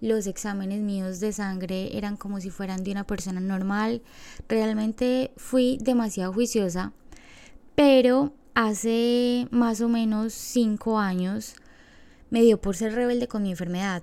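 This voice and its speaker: At a fairly slow pace, a woman speaks in a fairly high pitch with fairly even intonation and a dark, mellow tone, captured in a very clean recording with a silent background. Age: 20s. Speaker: podcast host. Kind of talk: personal monologue.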